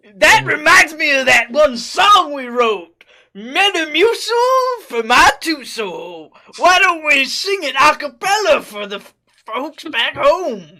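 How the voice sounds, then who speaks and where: This is a put-on character voice, high in pitch with very wide pitch swings. It moves at a fairly slow pace. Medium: game stream. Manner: hammy, showman-like.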